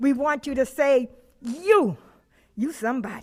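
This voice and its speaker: A woman's high-pitched voice. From Los Angeles area, California. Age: 70s. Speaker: community activist, public commenter. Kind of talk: public comment speech at school board meeting. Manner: impassioned, preacher-like.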